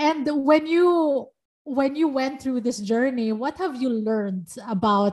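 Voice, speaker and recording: In a dark, mellow, somewhat breathy tone, a woman speaks at a moderate pace with lively intonation. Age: 30s. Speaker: podcast host. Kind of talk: interview.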